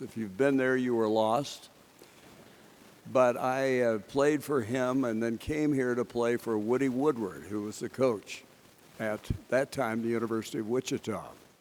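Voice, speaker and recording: A man with an ordinary speaking voice, medium pitch, fairly even intonation, and a moderate pace. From Kansas. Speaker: sportscaster. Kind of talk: acceptance speech.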